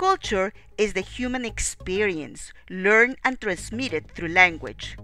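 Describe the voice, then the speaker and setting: Over music in the background, a woman with a Spanish accent talks at a fairly slow pace. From Peru, Lima. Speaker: narrator of a video essay. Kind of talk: scripted narration. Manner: formal.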